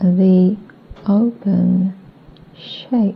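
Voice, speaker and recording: Over noticeable background noise, a woman at a medium pitch speaks in a monotone, flat intonation. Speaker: trance channeler. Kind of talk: trance channeling answers. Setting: old cassette tape recording.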